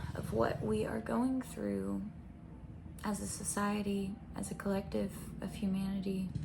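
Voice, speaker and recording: Soft-spoken and very slow, a woman talks in an American accent. Audible room echo and noticeable background noise surround her. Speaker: spiritual content creator. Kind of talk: intuitive reading monologue. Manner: hesitant.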